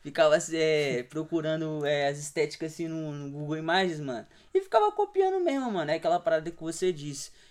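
A man's ordinary speaking voice, fairly high in pitch, with fairly even intonation, big swings in loudness and a fairly quick pace. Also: hardly any pauses. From Serra, Espírito Santo, Brazil. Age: 20s. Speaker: street artist. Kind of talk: casual chat.

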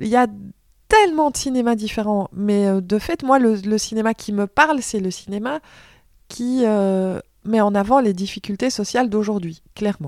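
Very clean recording, silent background. A woman speaks fairly slowly at a fairly high pitch with ordinary pitch variation. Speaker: film journalist and TV presenter. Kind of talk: casual interview.

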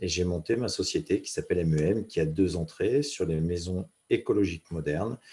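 A dark, mellow, somewhat breathy tone with ordinary pitch variation, at a moderate pace, on a very clean recording with a silent background. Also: man, very deep, low pitch for a man. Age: 40s. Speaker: former mountain rescuer, business speaker. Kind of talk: casual interview. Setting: podcast interview. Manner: halting, repeats words.

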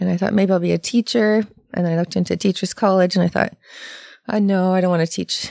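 With a Canadian accent, a woman talks very fast in a medium-pitched, dark and mellow tone, her loudness very even and her intonation fairly even, in a very clean, silent recording with a dry, close sound and no echo. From Ontario, Canada. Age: 40s. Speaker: massage therapist. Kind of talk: casual chat. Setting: studio.

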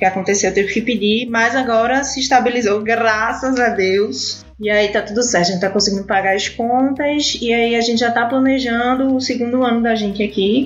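With a Recife accent and a fairly high voice, a woman speaks at a moderate pace with hardly any pauses over noticeable background noise. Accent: Recife (northeastern Brazilian). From Brazil, Recife (Pernambuco). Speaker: immigrant sharing experience. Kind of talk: casual interview chat. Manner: animated.

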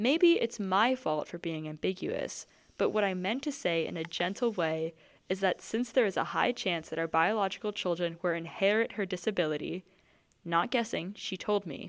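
The voice has ordinary pitch variation on a very clean recording with a silent background. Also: woman, medium pitch for a woman, moderate pace. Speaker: podcast co-host. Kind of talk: casual chat, reading Reddit posts aloud. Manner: chatty, animated.

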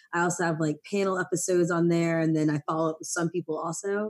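A woman with an American accent speaks very fast at a fairly low pitch, in monotone, flat intonation. The background is quiet. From Maryland, US. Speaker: podcast host. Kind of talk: casual chat.

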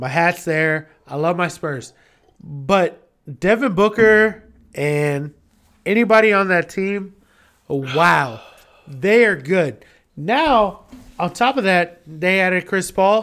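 In a very clean recording with a silent background, a man with a high pitch and lively intonation speaks at a very slow pace with long, frequent pauses. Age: 30s. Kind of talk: casual chat while drinking. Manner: animated, casual, profane.

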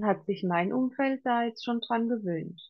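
Her pitch shows ordinary variation as the woman speaks. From Palatinate, Germany. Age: 40s. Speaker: coach. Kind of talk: interview.

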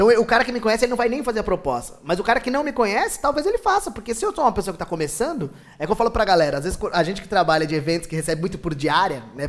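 A man is speaking. He talks at a very fast pace. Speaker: pedagogue and events worker. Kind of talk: casual chat.

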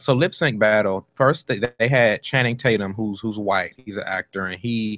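A man with a normal speaking voice, fairly low in pitch, fairly even in intonation, at a moderate pace. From Washington, D.C. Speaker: author. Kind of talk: interview.

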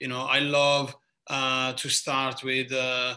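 Very slowly, a man with an Italian accent speaks in a bright, sharp tone. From southern Italy. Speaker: bartender. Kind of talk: casual chat. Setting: video call.

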